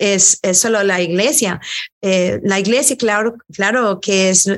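Her loudness very even, a woman speaks at medium pitch with ordinary pitch variation. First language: English (speaking Spanish). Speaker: worship leader and singer. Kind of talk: interview conversation.

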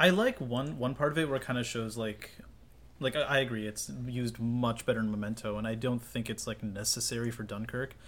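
At a fairly quick pace, a man speaks in an unremarkable speaking voice with medium pitch and ordinary pitch variation. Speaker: podcast co-host. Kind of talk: casual chat.

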